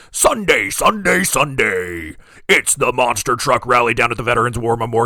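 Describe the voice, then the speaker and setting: The speaker adopts a put-on character voice and keeps a moderate pace. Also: man, medium pitch for a man. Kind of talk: radio announcement. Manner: intense, booming.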